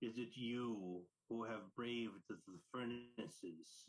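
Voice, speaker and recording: A man puts on a rumbling character voice. He speaks at a very slow pace. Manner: menacing, commanding.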